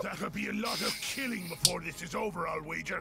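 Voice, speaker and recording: Over loud background noise, a man does a put-on character voice at a high pitch and a fairly quick pace. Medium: game stream. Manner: gruff, grumbling.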